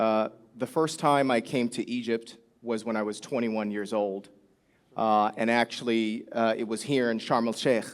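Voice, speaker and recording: A man with an American accent speaks at a medium pitch and moderate pace, his intonation fairly even. It is a plain, everyday voice. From US Midwest, Chicago. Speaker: conference panelist. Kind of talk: panel discussion. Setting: stage with audience.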